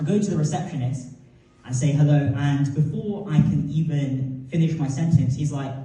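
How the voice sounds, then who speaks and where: Audible room echo surrounds a man speaking in a British accent with fairly even intonation. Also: fairly high pitch for a man, moderate pace. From North London, England. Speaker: comedian. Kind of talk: stand-up.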